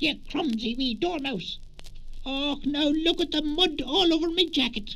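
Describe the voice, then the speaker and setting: Over clear background noise, a man uses a put-on character voice at an extremely high pitch and a moderate pace. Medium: read story. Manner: cross, then kindly.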